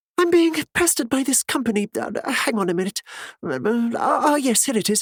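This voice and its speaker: A man puts on a character voice at an extremely high pitch, drawling at a moderate pace with very wide pitch swings in a dry, close sound with no echo. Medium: read story. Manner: drawling, patronizing.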